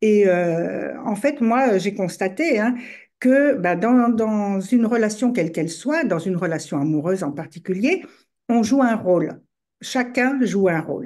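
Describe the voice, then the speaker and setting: At a fairly slow pace, a woman speaks with lively intonation at medium pitch. Her tone is dark and mellow against a quiet background. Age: 60s. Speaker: relationship coach. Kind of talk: podcast interview. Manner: hesitant, many fillers.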